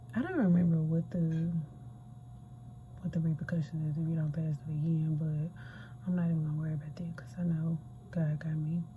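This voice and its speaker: Someone whispers at a fairly quick pace, broken by long, frequent pauses. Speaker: nursing student vlogger. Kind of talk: casual vlog. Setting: library. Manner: whispering.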